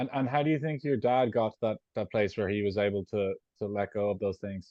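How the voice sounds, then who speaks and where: With an Irish accent, a man talks at a fairly quick pace in a fairly low pitch, with ordinary pitch variation. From Ireland. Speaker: interviewer. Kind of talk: casual interview chat.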